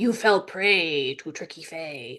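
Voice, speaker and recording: A woman puts on a character voice, fairly low in pitch, over a quiet background. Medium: read story.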